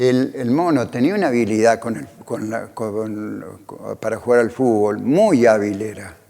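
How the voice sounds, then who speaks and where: In an Argentine Litoral accent, a man of medium pitch speaks at a fairly slow pace with ordinary pitch variation and hardly any pauses. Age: 70s. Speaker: former cyclist. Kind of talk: interview testimony.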